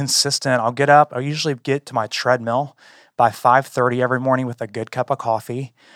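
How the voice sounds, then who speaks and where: In an ordinary speaking voice, a man talks at a moderate pace and medium pitch, in a dry, close sound with no echo and a very clean recording with a silent background. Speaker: church staff leader. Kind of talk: casual discussion.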